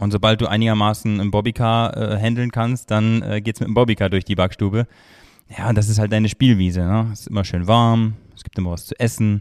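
A man talks at a fairly quick pace in a fairly low, monotone voice. His loudness rises and falls in big swings. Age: 30s. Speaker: master baker. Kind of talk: casual interview. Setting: studio, in person.

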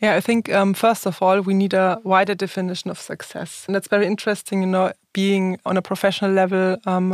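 A woman with medium pitch speaks at a very fast pace in a monotone, flat intonation. The recording is very clean, with a silent background and a dry, close sound with no echo. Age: 40s. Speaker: business executive. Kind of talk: interview.

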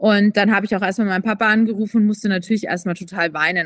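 Dry and close with no echo, a woman's voice races along very fast with fairly even intonation. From Munich, Bavaria. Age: 20s. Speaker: influencer and personal trainer, cancer survivor. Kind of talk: interview testimony. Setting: remote call.

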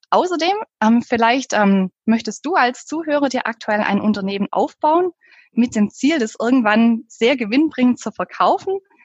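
In a southern German accent, a woman speaks at a moderate pace with a high pitch and lively intonation. The sound is dry and close, with no echo. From southern Germany. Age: 30s. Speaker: pricing consultant. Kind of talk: interview.

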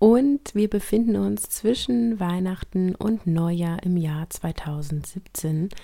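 A woman's dark, mellow voice at a very slow pace with hardly any pauses. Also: medium pitch for a woman, ordinary pitch variation, very clean recording, silent background. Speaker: podcast host. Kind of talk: podcast intro and outro, casual address.

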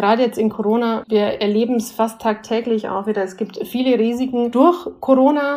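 With a Bavarian accent, a woman talks at a moderate pace in a dark, mellow tone and a fairly high pitch. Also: ordinary pitch variation. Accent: Bavarian tinge. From Bavaria, Germany. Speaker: senior management consultant. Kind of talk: interview. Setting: remote recording.

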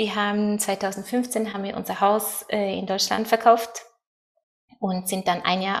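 A woman with a Norwegian accent talks fairly slowly at a fairly high pitch, her intonation fairly even. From Norway. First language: Norwegian (speaking German). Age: 30s. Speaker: world traveler and event organizer. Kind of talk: interview. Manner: halting, searching for German words.

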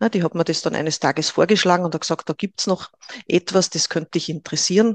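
A woman with an unremarkable speaking voice, fairly low-pitched, at a moderate pace with ordinary pitch variation, in a dry, close sound with no echo. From Upper Austria (Linz). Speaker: Human Design trainer. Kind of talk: interview.

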